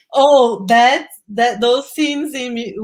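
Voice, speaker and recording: A woman with a non-native accent. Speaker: film director. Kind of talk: live online Q&A interview. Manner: halting, repeats words.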